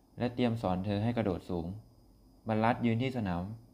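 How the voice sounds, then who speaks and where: A man speaks with a dark, mellow tone at a medium pitch, with ordinary pitch variation, on a very clean recording with a silent background. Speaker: podcast host. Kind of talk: storytelling narration. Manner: halting.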